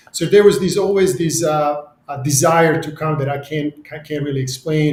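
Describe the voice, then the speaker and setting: A man's fairly high voice at a moderate pace. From Serbia. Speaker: real estate CEO. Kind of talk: podcast interview. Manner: halting.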